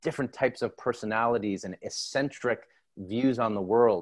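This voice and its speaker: A plain, everyday voice with a Canadian accent, fairly even intonation and a moderate pace, over a quiet background. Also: man. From Canada, Toronto. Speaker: former teacher and TV producer. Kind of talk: interview.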